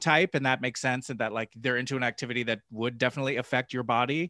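Dry and close with no echo and a quiet background, a man with an American accent speaks very fast in a medium pitch with a bright, sharp tone. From New Jersey. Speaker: podcast co-host. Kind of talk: casual chat.

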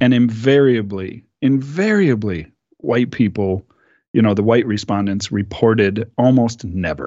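This man has an American accent. He talks at a fairly slow pace with ordinary pitch variation. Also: medium pitch for a man. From US Midwest, Minneapolis. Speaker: podcast panelist. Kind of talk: casual discussion.

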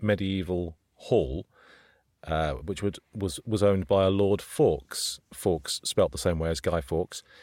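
A man with a British accent, fairly low in pitch, at a moderate pace with ordinary pitch variation. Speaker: podcast co-host and voiceover artist. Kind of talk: casual chat.

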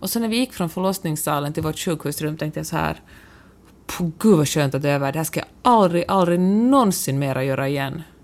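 A woman's very deep, low voice with lively intonation at a fairly quick pace. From Finland (Finland-Swedish). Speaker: podcast co-host, columnist and blogger. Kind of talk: casual chat.

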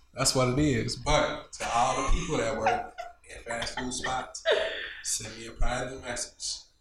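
With noticeable background noise behind him, a man with an American accent talks at a fairly slow pace. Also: big swings in loudness. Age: 30s. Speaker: podcast co-host. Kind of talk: casual chat. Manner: animated.

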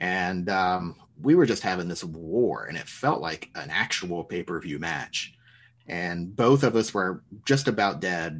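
The speaker talks at a fairly slow pace with lively intonation over a quiet background. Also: man, very deep, low pitch for a man. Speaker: podcast co-host, teacher. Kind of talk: casual chat.

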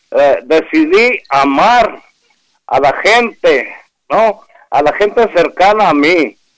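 A man talks at a very slow pace in a high pitch, his intonation lively and his loudness very even. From Hermosillo, Sonora, Mexico. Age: 60s. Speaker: caller.

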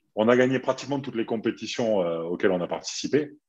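With lively intonation and a fairly quick pace, an unremarkable speaking voice comes through against a quiet background. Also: man. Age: 40s. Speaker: retired handball player. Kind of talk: casual chat.

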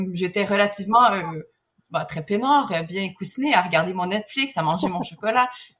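A woman's ordinary speaking voice, medium in pitch, at a moderate pace with lively intonation. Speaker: surrogate mother, egg donor. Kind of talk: interview conversation.

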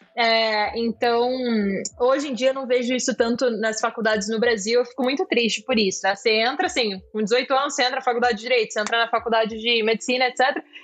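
Over noticeable background noise, a woman with a high pitch speaks at a very fast pace with fairly even intonation. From Georgia, raised in Rio de Janeiro from childhood. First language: Georgian (speaking Portuguese). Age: 20s. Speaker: tech startup executive. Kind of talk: interview.

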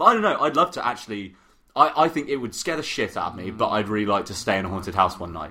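The man's tone is bright and sharp, and his pitch swings very widely. He talks at a very fast pace. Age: 20s. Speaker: podcast co-host. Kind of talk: casual chat.

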